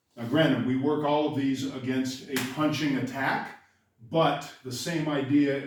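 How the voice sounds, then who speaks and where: With audible room echo, a man talks at a moderate pace in a fairly high pitch. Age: 60s. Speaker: karate instructor. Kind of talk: tutorial. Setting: dojo. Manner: casual, conversational.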